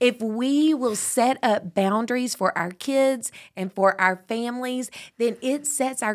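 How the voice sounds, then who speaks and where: A woman with a plain, everyday voice speaks at a fairly slow pace, her pitch varying in an ordinary way. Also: very clean recording, silent background. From Texas (Tyler). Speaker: parenting podcast co-host. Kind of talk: casual chat.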